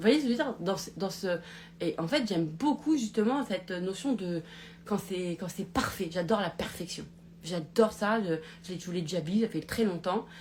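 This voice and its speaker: Lively intonation, medium pitch, and a moderate pace from a woman. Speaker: life coach. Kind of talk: live stream monologue. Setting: live broadcast on social media. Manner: loud; halting, many fillers.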